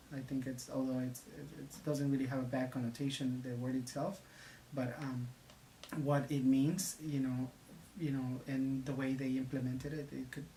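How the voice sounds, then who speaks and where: The speaker has a Spanish accent. The pace is moderate. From Mexico. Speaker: community center member. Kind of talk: interview testimony. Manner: halting.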